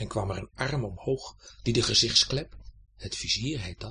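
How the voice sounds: The clip features a natural reading voice. The words are read aloud.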